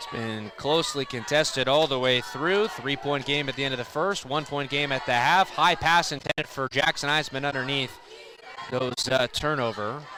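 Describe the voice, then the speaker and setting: Speech at a moderate pace with ordinary pitch variation comes through over noticeable background noise. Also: man, fairly high pitch for a man. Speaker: basketball play-by-play announcer. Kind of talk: live game play-by-play.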